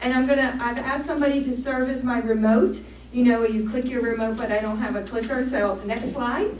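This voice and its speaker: A woman talks in a high pitch with ordinary pitch variation. The recording carries noticeable background noise and audible room echo. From Maryland, US. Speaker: archaeologist. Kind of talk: public lecture. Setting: church hall with audience. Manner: fast.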